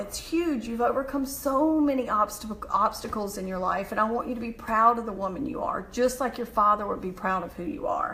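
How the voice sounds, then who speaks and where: With a Southern US accent, a woman speaks fairly quickly at a fairly high pitch with ordinary pitch variation amid noticeable background noise. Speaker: motivational speaker. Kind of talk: motivational live stream talk; reading mantras aloud. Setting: live video stream.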